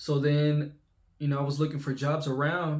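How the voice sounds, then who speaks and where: Somewhat breathy speech comes at a very slow pace. The accent is American. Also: man. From Texas (Lufkin, East Texas). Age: 20s. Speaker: YouTuber, remote web developer. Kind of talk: casual vlog storytelling. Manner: casual with many fillers and restarts.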